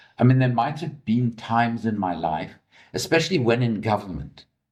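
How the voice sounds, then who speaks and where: This man's voice sits at a medium pitch. There is vocal fry throughout. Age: 60s. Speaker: investigative journalist, former politician. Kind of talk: press conference answer.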